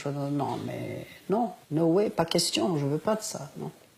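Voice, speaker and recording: A woman is speaking. Her pace is fairly slow. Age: 70s. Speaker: interviewee on end-of-life choice. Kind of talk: interview. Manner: hesitant with many fillers.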